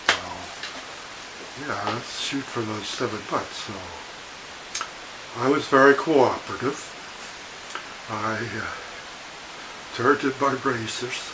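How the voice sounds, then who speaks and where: Amid noticeable background noise and audible room echo, a man of medium pitch talks at a fairly slow pace, with long, frequent pauses and big swings in loudness. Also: ordinary pitch variation. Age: 70s. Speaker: vlogger. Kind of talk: personal storytelling. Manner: hesitant, with fillers.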